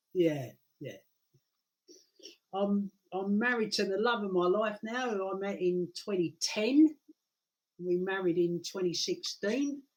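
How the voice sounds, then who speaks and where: With a British accent, the speaker talks at a fairly slow pace with ordinary pitch variation and long, frequent pauses. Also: man, high pitch for a man. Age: 60s. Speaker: guest with multiple sclerosis. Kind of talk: casual interview. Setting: live stream.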